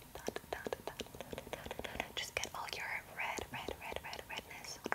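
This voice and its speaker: A woman whispering at a fairly slow pace. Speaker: ASMR creator. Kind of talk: ASMR role-play whispering, soft talk. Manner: soft close-mic ASMR voice, repeated words. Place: home room. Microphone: studio mic.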